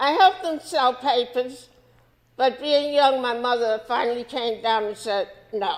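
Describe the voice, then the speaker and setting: A woman's high voice in a New York accent, with ordinary pitch variation and a fairly slow pace. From New York City, Washington Heights. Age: 70s. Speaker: civil rights activist. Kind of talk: interview.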